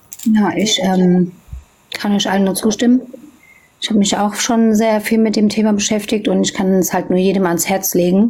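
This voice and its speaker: Monotone, flat delivery at a moderate pace with very even loudness over noticeable background noise. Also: woman, medium pitch for a woman. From Palatinate, Germany. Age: 30s. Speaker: live stream participant, parent. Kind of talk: casual discussion.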